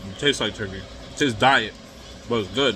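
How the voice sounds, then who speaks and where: A man talks at a moderate speed, with noticeable noise audible behind him. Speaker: food vlogger. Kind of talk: casual vlog chat, food review. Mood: relaxed, casual. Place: home room. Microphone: phone near.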